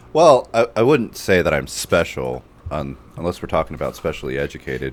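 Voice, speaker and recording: There is noticeable background noise. The talking runs at a fairly quick pace. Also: man. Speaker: video creator. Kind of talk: podcast guest introduction.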